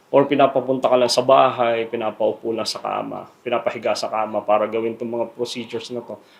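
Noticeable background noise is present. The man's pace is moderate. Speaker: dentist. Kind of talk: interview soundbite. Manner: halting.

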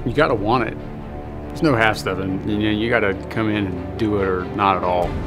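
A man with a fairly low voice speaks at a fairly quick pace with ordinary pitch variation, clear music playing behind him. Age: 30s. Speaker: pro wrestler. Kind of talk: documentary interview answer. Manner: casual, reflective. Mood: reflective, earnest. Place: hall.

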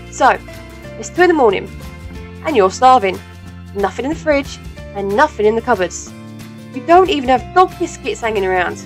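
Over music in the background, a woman talks at a fairly quick pace broken by long, frequent pauses. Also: big swings in loudness. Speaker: voice actor. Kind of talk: radio commercial read.

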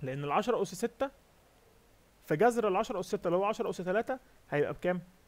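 The man's voice is pitched high, with lively intonation. He talks at a fairly quick pace. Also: dry, close sound with no echo. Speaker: competitive programming instructor. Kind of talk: lecture.

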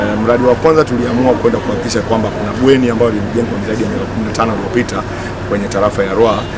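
A man speaks over loud background noise. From Tanzania. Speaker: member of parliament. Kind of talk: press statement. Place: street.

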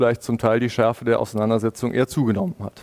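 There is a man speaking against a quiet background. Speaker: panel moderator. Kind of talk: moderated panel discussion. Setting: video call. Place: office. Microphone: headset.

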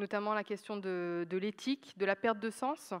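Against a quiet background, a woman is speaking. Her pace is fairly slow. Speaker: judge; panelist, judge. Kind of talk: panel discussion. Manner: loud. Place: stage. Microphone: handheld.

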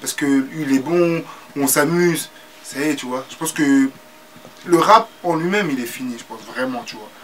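With noticeable background noise behind him, a man talks at a moderate pace and fairly high pitch, ordinary pitch variation, big swings in loudness and long, frequent pauses. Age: 20s. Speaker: rapper. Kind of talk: casual interview. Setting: studio.

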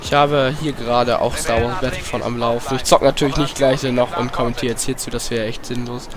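Over noticeable background noise, the words rush out at a very fast pace with hardly any pauses. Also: man, medium pitch for a man, fairly even intonation. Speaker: gaming YouTuber. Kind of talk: let's play commentary. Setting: home room with headset.

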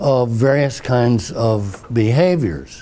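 At a very slow pace, a man speaks with ordinary pitch variation. Noticeable background noise is present. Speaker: professor emeritus. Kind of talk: interview answer. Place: meeting room. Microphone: lapel.

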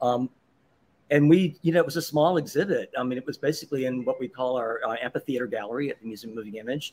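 Very fast speech comes from a man with a fairly high pitch. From Mississippi. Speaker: artist and exhibition designer. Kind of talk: casual interview. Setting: live show at a restaurant. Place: cafe.

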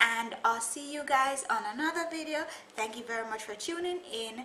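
A woman speaks at a moderate pace with high pitch. Light background noise and audible room echo are present. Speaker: hair vlogger. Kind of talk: casual vlog chat. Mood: cheerful. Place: home room. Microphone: webcam.

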